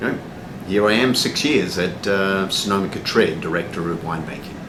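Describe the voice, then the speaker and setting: Fairly low in pitch with ordinary variation, a man speaks at a fairly quick pace. Room echo is audible, along with noticeable background noise. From Australia. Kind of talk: interview. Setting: cafe. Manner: many fillers (um, uh).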